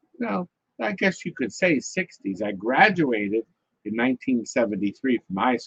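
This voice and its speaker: Recorded with a dry, close sound and no echo, a man speaks at a moderate pace with very wide pitch swings. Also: medium pitch for a man. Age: 70s. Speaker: arcade business founder. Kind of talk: casual interview chat.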